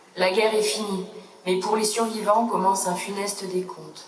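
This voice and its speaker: A woman speaks at a fairly slow pace in a solemn tone over noticeable background noise. Her medium pitch stays monotone and flat. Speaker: sub-prefect, government official. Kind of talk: official commemorative speech read aloud. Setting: outdoors, public ceremony. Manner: solemn, formal.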